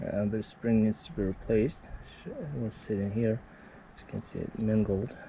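The sound is dry, with no echo. A man speaks over light background noise. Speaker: tractor mechanic. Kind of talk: work commentary. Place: open country. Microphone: phone near.

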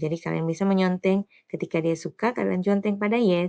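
Against a quiet background, a woman speaks in an ordinary speaking voice at medium pitch with ordinary pitch variation. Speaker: primary school English teacher. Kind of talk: tutorial.

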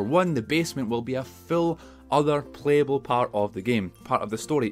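Faint music sits in the background as a man with a Scottish accent talks at a fairly quick pace. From Scotland. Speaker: gaming YouTuber. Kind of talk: casual talk to camera. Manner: excited, chatty. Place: home room.

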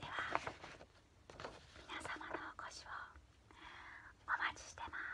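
A woman at a fairly slow pace, with long, frequent pauses. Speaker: performer of a comedy theatre troupe, promoting a stage show. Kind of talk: whispered promotional announcement to camera. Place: home room. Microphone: phone near.

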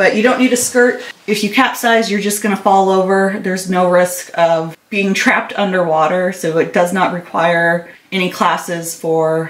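With audible room echo, a woman speaks at a moderate pace using ordinary pitch variation. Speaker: kayaking vlogger. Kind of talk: casual vlog chat. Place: garage. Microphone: phone near.

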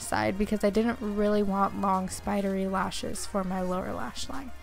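Music in the background under a woman's medium-pitched voice at a moderate pace. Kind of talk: makeup tutorial talk to camera. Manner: monotone.

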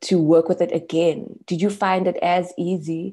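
Against a quiet background, a woman speaks at a fairly slow pace with a fairly low pitch and a dark, mellow tone. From South Africa. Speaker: poet. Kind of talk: interview. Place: home room. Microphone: earbuds.

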